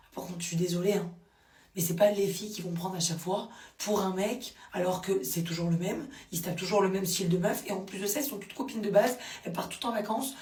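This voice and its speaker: A woman's medium-pitched voice in an animated tone at a very fast pace, with audible room echo and noticeable background noise. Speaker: social media commentator. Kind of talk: casual vlog commentary.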